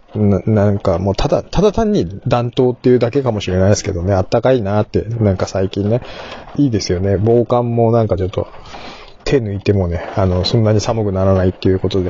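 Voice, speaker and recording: Fairly quick speech with ordinary pitch variation and noticeable background noise. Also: man, fairly low pitch for a man. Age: middle-aged. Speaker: podcast host. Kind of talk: casual monologue. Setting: in a car.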